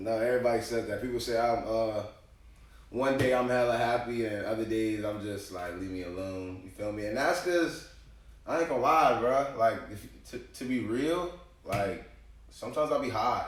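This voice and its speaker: A medium-pitched man with ordinary pitch variation at a moderate pace, amid noticeable background noise and audible room echo. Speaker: podcast host. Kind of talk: casual chat. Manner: loud.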